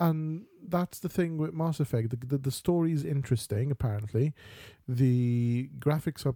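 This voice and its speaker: On a very clean recording with a silent background and a dry, close sound with no echo, a man with a dark, mellow, somewhat breathy tone speaks at a medium pitch and moderate pace with ordinary pitch variation. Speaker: podcast co-host. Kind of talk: casual banter chat.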